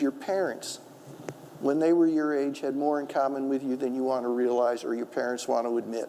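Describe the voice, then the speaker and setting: This man has a normal speaking voice. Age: 60s. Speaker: author and historian. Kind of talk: public talk with audience.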